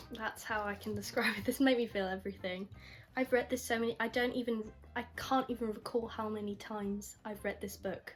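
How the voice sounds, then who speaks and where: Noticeable background noise sits behind a woman's voice. She talks at a fairly quick pace. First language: not English. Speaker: book youtuber. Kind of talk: casual vlog book review. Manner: animated, enthusiastic; halting, repeats words.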